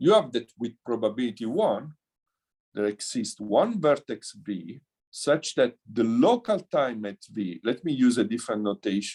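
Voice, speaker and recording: A man talks at a fairly slow pace. His medium-pitched voice has lively intonation. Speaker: mathematics professor. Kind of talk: lecture. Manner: halting.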